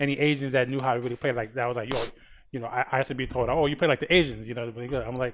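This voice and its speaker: Speaking at a very fast pace, a man with a medium-pitched voice keeps a monotone, flat intonation. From Jamaican family. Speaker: podcast host. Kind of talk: podcast interview.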